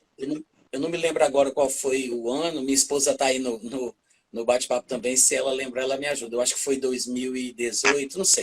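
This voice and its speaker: A man has a plain, everyday voice at a medium pitch. He talks at a fairly quick pace with fairly even intonation. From Brazil, Fortaleza, Ceará (Northeast). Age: 40s. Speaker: preacher and author. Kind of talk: casual chat on a church livestream.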